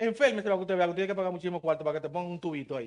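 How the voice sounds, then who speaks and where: A man speaks with a Dominican accent. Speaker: preacher. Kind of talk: sermon. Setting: church.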